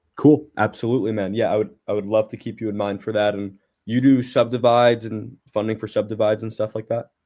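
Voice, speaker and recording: The speech comes at a very fast pace with hardly any pauses, monotone and flat, in a New Jersey accent. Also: man, fairly low pitch for a man. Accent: New Jersey American. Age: 20s. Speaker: real estate investor. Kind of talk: casual chat. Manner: casual, halting.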